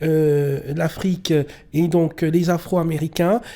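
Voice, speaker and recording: Very slow and monotone, a woman speaks with flat intonation. Her fairly low voice has a dark, mellow tone. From Cameroon. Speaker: interviewer. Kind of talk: interview.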